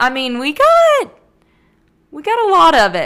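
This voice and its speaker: With a strong Southern US accent, a woman talks at a moderate pace in an animated tone, her pitch swinging very widely. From US South. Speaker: podcast host. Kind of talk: casual solo monologue. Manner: chatty, animated.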